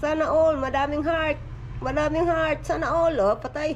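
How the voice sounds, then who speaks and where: Noticeable noise sits in the background. Room echo can be heard as well. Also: woman. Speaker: family vlogger. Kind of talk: casual vlog. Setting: outdoors on porch. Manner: soft-spoken.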